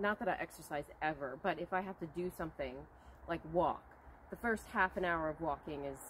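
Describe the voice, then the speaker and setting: A woman delivers her words with lively intonation at a moderate pace, light background noise behind her. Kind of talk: casual vlog chat. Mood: light, self-deprecating, humorous. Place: garden. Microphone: camera far.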